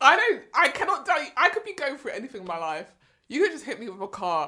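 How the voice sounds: A woman talks fast with a South London accent, her voice high and bright with a sharp tone. Her pitch swings widely.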